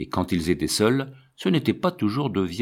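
Lively intonation in plain reading aloud.

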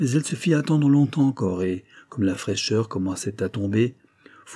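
Natural reading aloud with plenty of pitch movement

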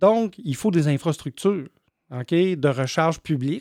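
A man in a Quebec accent, high-pitched, at a fairly slow pace with ordinary pitch variation, on a very clean recording with a silent background and a dry, close sound with no echo. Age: 50s. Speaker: electric vehicle charging business owner. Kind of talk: interview.

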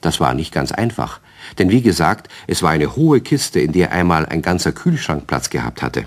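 A man speaks with an extremely low pitch and big pitch swings. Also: moderate pace.

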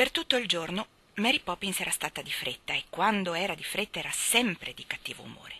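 The reading voice here is unforced.

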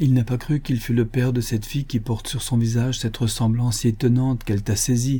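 Simple reading aloud.

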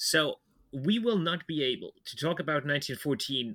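A man speaks with a bright, sharp tone. The sound is dry and close with no echo, in a very clean recording over a silent background. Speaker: history podcast host. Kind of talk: casual chat.

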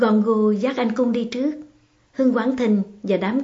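Someone is plainly reading aloud. Their intonation stays fairly even.

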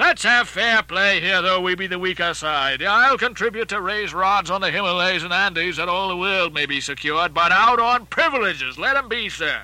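A man puts on a character voice with a high pitch and a bright, sharp tone. His intonation is lively, at a moderate pace with few pauses.

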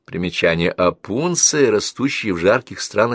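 What is heard here is an unforced reading voice.

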